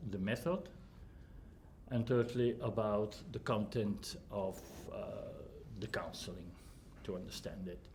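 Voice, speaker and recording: A man with a non-native accent speaks at a fairly slow pace and a medium pitch, somewhat breathy, with long, frequent pauses and audible room echo. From Flanders, Belgium. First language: Dutch (Flemish). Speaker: humanist counsellor and trainer. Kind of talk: lecture. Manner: halting, many fillers.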